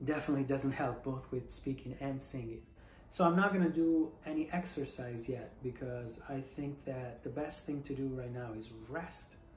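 With light background noise and audible room echo, a man speaks in a fairly high, somewhat breathy voice at a moderate pace with fairly even intonation. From Italy. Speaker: singer, voice teacher. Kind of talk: casual talk to camera. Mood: earnest, reflective.

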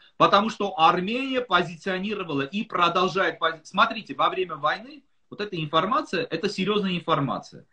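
A man's raised, projected voice moves at a fairly quick pace, high in pitch with ordinary variation. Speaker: political analyst. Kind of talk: interview. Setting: video call.

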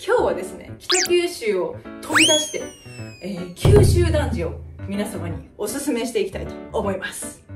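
Clear music plays in the background. Over it, a woman speaks with a Kyushu accent. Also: moderate pace. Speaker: mother vlogger. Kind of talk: casual talk to camera. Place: home room. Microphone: camera far.

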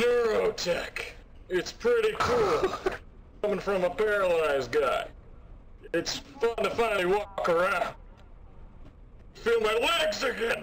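Against clear background noise, a man does a put-on character voice in a high pitch, moving at a fairly slow pace with long, frequent pauses. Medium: role play. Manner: loud, emphatic.

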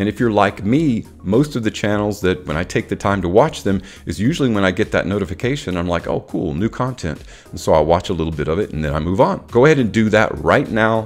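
Faint music plays in the background as the speaker goes at a very fast pace. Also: man, fairly low pitch for a man. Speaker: fragrance reviewer. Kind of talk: casual vlog chat. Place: home room. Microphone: studio mic.

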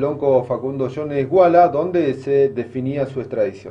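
Speaking at a fairly slow pace, a man with an unremarkable speaking voice has fairly high pitch and ordinary pitch variation. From Argentina. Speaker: news presenter. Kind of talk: news presenting. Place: studio. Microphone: podium.

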